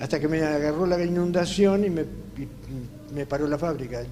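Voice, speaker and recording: Against noticeable background noise and audible room echo, a man talks at a fairly slow pace, his fairly high pitch showing ordinary variation. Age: 80s+. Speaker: entrepreneur and panelist. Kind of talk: panel discussion.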